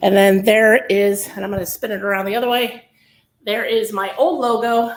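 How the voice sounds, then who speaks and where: With an American accent, a woman talks at a moderate pace in an ordinary speaking voice, fairly high in pitch and fairly even in intonation. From Northern California. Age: 40s. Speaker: massage therapist. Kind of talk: testimony interview.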